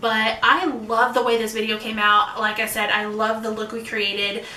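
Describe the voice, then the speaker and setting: With noticeable background noise and audible room echo, a woman speaks fairly quickly in a fairly high pitch. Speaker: beauty youtuber. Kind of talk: casual makeup tutorial vlog. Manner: fast.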